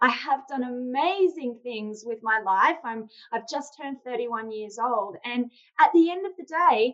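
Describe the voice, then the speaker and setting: A woman with an Australian accent speaks at a high pitch with lively intonation. Her pace is fairly slow. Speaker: sales trainer and founder. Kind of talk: interview conversation.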